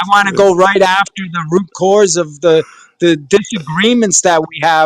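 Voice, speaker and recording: A man speaks in an American accent, high in pitch with fairly even intonation. The sound is dry and close, with no echo. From US, Rhode Island. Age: 60s. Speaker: presidential candidate and business developer. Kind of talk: casual chat.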